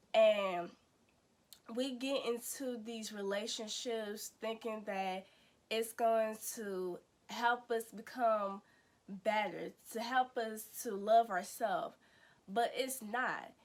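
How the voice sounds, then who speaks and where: Very slow speech from a woman with an American accent, fairly high in pitch, with fairly even intonation, long, frequent pauses and a very clean recording with a silent background. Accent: country-sounding speech. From US Midwest. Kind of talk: casual inspirational vlog talk. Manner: conversational with frequent fillers and repetitions.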